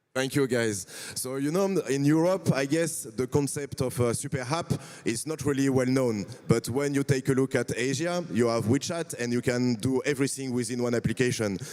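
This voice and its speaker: Speaking at a medium pitch, a man has a French accent. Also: ordinary pitch variation, moderate pace. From France. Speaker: panel moderator. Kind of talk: panel discussion.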